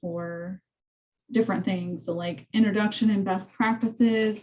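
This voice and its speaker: At a moderate pace, a woman speaks with fairly even intonation. Her voice is somewhat breathy. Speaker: real estate coach. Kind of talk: training session over video call. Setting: zoom call. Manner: casual, filler-heavy. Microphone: video call.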